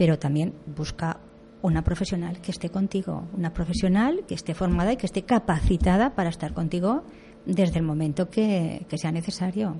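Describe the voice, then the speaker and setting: The woman's voice is somewhat breathy, with a dark, mellow tone and a fairly low pitch. She uses ordinary pitch variation at a moderate pace. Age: 60s. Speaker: doula. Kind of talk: radio interview.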